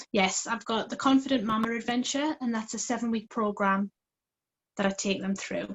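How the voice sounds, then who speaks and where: A somewhat breathy voice with a British accent and fairly even intonation. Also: woman, fairly high pitch for a woman, moderate pace. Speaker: parenting coach. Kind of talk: live coaching interview. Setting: call via phone. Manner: quiet.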